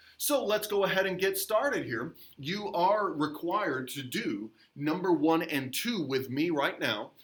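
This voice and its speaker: High-pitched male voice with very wide pitch swings and noticeable background noise. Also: fairly slow pace. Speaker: middle school teacher. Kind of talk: recorded grammar lesson. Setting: recorded video lesson.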